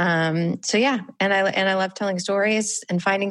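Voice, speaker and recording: A woman with a plain, everyday voice at a moderate pace, quiet background. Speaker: podcast host and former TV producer. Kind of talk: interview. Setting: video call.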